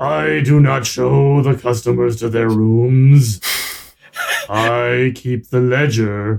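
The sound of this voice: A man puts on a booming character voice at a medium pitch. He speaks at a very slow pace.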